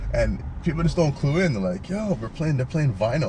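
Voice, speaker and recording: A man speaks with lively intonation. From Calgary, Alberta, Canada (Jamaican family). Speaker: DJ and music producer. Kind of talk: casual interview chat.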